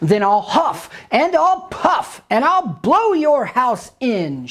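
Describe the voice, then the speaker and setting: A put-on, growling character voice with very wide pitch swings and a very slow pace. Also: female-sounding voice, high pitch for a woman. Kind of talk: fairy-tale storytelling. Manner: shouting, menacing, gleeful.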